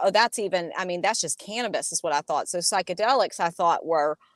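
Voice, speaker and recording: Recorded very cleanly against a silent background, with a dry, close sound and no echo, a woman speaks at a medium pitch with fairly even intonation. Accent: Southern US. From US South, Alabama. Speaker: cannabis industry entrepreneur. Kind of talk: interview.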